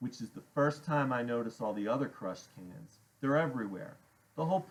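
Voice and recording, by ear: A natural voice reading aloud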